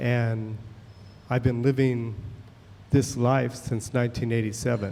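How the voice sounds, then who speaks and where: At a fairly slow pace, a man delivers his words in a monotone, flat intonation at a medium pitch. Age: 60s. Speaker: audience member asking a question. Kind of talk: public comment. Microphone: too far from the mic.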